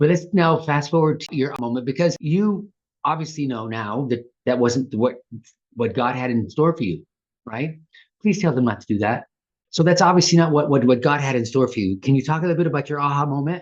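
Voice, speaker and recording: Speaking at a fairly quick pace with an American accent, a man has a plain, everyday voice. It sits fairly high, with ordinary pitch variation. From US, Southern California and Texas. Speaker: podcast host. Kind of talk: podcast interview.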